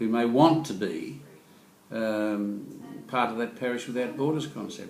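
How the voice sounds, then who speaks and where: The speaker uses an Australian accent with ordinary pitch variation. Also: man, medium pitch for a man. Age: 70s. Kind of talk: interview answer. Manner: quick-witted, jokey.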